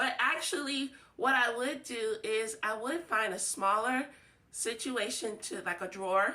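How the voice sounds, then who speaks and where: A woman speaks loudly in an animated tone, her pitch fairly high. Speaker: home organizing vlogger. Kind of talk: casual tutorial.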